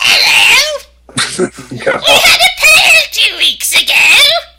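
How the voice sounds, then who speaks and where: This put-on character voice is pitched extremely high. It moves at a very slow pace. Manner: put-on, exaggerated.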